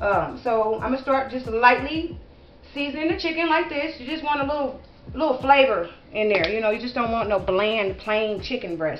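Against light background noise and audible room echo, a woman speaks in a high pitch. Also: moderate pace. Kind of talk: tutorial. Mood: relaxed and friendly. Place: kitchen. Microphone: camera far.

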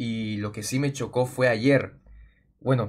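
A man speaks somewhat breathily at a medium pitch. His intonation is fairly even and his pace fairly slow. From Peru. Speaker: gaming youtuber. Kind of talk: casual vlog talk to viewers. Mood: worried, telling about hack. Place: home room.

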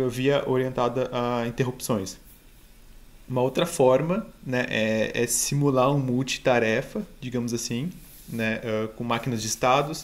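A man with fairly even intonation. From Rio Grande do Sul, Brazil. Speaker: embedded software engineer; conference speaker. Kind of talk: tech talk presentation. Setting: online live stream. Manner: halting, many fillers. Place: home room.

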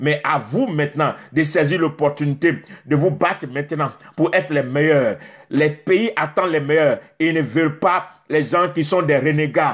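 A man speaks in an animated tone at a fairly slow pace, his pitch fairly high. The background is quiet. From Côte d'Ivoire. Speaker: preacher. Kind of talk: sermon. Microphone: phone near.

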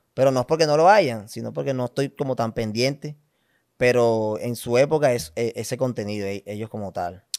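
A man at a medium pitch, talking at a fairly quick pace with ordinary pitch variation. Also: quiet background. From Colombia, Valledupar; Colombia. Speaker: comedy content creator. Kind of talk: casual interview chat. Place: studio. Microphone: studio mic.

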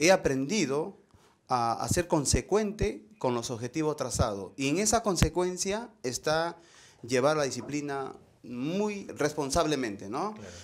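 A man's fairly high-pitched voice at a fairly slow pace, with very wide pitch swings and big swings in loudness. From northern Peru, Chepén; northern Peru. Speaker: visual artist; interviewee. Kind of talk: interview. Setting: artist's studio. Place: workshop. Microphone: lapel.

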